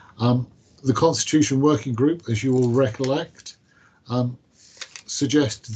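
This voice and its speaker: A man's somewhat breathy, dark and mellow voice at a medium pitch, moderate pace and fairly even intonation. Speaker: council officer. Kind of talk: committee meeting briefing. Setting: council committee meeting. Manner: formal.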